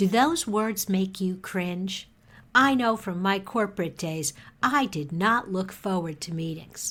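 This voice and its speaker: An unremarkable speaking voice moves at a fairly slow pace on a very clean recording with a silent background. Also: woman. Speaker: podcast host. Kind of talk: podcast intro.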